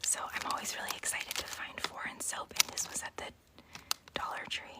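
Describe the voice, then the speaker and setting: Whispering at a fairly quick pace, with noticeable background noise. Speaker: ASMR creator. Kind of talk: casual whispered livestream talk. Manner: whispered.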